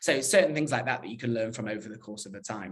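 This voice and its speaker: The pitch of this man's speech varies in an ordinary way. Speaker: digital PR professional at a fashion brand. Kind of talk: conference talk. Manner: fast.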